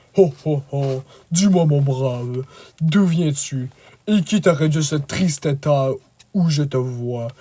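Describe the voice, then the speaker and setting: Fairly slow, fairly high-pitched put-on character voice from a man. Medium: read story. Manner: hearty, condescending.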